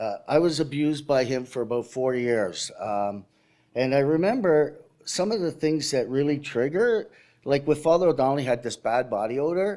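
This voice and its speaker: This man has a Canadian accent, a dark, mellow tone, a fairly high pitch and lively intonation at a moderate pace. The recording is very clean, with a silent background. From Canada, Toronto. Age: 60s. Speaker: abuse survivor speaker. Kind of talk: testimony. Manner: halting.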